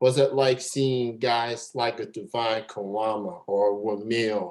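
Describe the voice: The intonation stays fairly even. The tone is slightly mellow. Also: man.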